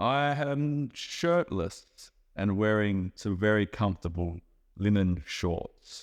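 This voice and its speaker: A man with an Australian accent speaks at a very slow pace and a fairly low pitch, with lively intonation. His loudness stays very even against a quiet background. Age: 30s. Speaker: chef and traveller. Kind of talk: interview for English learners.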